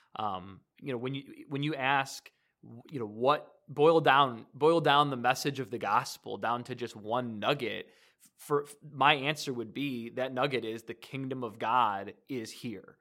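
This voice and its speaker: A man with an American accent speaks at a fairly slow pace and medium pitch. His loudness swings widely while his pitch varies in an ordinary way. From Michigan, Detroit area. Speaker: youth minister. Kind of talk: casual chat. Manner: halting.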